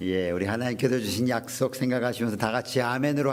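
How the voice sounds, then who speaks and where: Talking at a very fast pace, a man with a medium pitch and ordinary pitch variation is heard in a room with audible echo. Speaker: pastor. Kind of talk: sermon. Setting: online revival meeting video.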